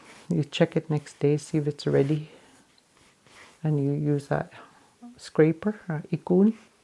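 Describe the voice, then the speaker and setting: A woman with a very deep, low pitch and a dark, mellow tone speaks at a fairly slow pace. Her pauses are long and frequent. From Canadian Arctic, Banks Island. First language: Inuvialuktun. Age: old. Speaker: hide worker and translator. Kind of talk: tutorial.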